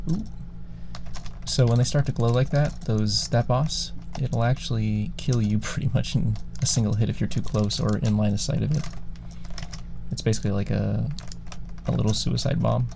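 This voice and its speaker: Soft-spoken and relaxed in tone, the voice keeps a moderate pace. Long pauses come frequently. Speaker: ASMR creator and gamer. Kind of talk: casual talk to camera while gaming. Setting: studio, close binaural microphone. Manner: soft-spoken, relaxed.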